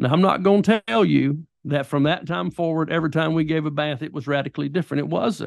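A man with a Southern US accent speaks very fast and hardly pauses, his fairly high pitch rising and falling in an ordinary way. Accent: Southern US (Georgia). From US South, rural southwest Georgia. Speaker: pastor and author. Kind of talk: interview, personal testimony and teaching. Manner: animated.

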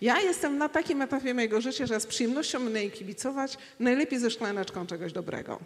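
Amid noticeable background noise, a woman talks very fast with hardly any pauses, in an animated tone with lively intonation and a high pitch. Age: 50s. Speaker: traveller and speaker. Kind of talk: panel discussion on stage. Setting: stage with audience.

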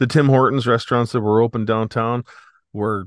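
A man with a Canadian prairie accent, fairly low in pitch, at a fairly quick pace, against a quiet background. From Saskatchewan, Canada. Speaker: protest organizer. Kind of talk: casual interview. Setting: home, remote call.

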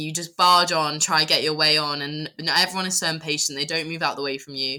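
Speaking very fast with a British accent, a woman uses a very deep, low pitch and a bright, sharp tone. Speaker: podcast co-host. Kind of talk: casual chat.

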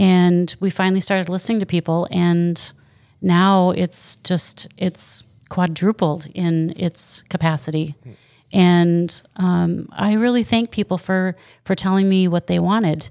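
In a very clean recording with a silent background, a woman with a normal speaking voice talks at a fairly slow pace and fairly low pitch, her intonation fairly even and her loudness very even. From Wisconsin. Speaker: store owner. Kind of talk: casual interview. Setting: in the store.

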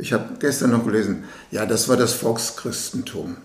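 Amid noticeable background noise and audible room echo, a man of medium pitch speaks at a moderate pace. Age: 70s. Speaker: interviewer. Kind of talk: interview.

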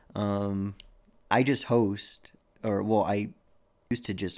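A man talks with a fairly low pitch. The recording is very clean, with a silent background. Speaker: podcast co-host, restaurant server. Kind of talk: casual chat.

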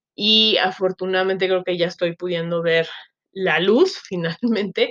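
Talking at a fairly slow pace, a woman keeps a fairly low pitch and a monotone, flat intonation. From Mexico, Chiapas. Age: 30s. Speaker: podcaster, social media marketer. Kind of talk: casual solo monologue, self-introduction. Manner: many filler words (este, eh), hesitant.

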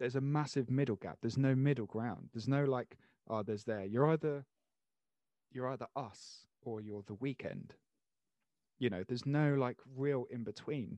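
At a moderate pace, a man with a medium pitch and ordinary pitch variation speaks with long, frequent pauses, in a dry, close sound with no echo and a quiet background. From Channel Islands (Jersey). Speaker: podcast host. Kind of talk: casual chat.

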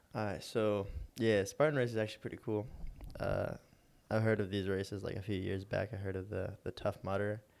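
At a fairly quick pace, a man with a plain, everyday voice speaks in a fairly low pitch with fairly even intonation on a very clean recording with a silent background. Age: young. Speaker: film lighting crew worker. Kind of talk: casual chat.

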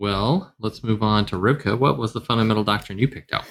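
A normal speaking voice talks fairly quickly with an American accent. Its pitch varies in an ordinary way. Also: man. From US South. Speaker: podcast host. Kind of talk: casual discussion.

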